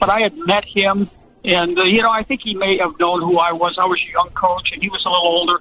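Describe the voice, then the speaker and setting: A man's high pitch and American accent at a very fast pace, with fairly even intonation over noticeable background noise. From Buffalo, New York. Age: 70s. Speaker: retired football coach. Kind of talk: radio interview. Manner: halting.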